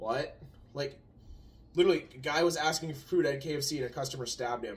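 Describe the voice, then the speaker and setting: A man with a fairly high pitch talks at a very fast pace, somewhat breathy, with ordinary pitch variation. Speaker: channel co-host. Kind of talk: casual chat. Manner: quiet, soft-spoken.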